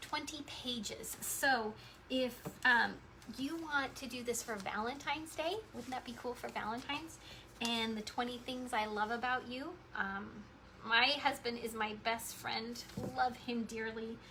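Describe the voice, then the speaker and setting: A woman speaks at a fairly slow pace with a high pitch and a bright, sharp tone. Room echo can be heard. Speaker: crafts tutorial host. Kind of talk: tutorial. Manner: animated.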